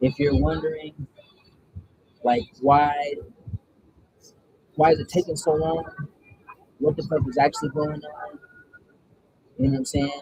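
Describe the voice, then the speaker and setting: The voice has a dark, mellow tone and is somewhat breathy, moving at a fairly slow pace with long, frequent pauses. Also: man, fairly high pitch for a man. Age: 30s. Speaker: spiritual content creator doing card draws. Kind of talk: casual spiritual card reading livestream. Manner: casual, meandering with fillers.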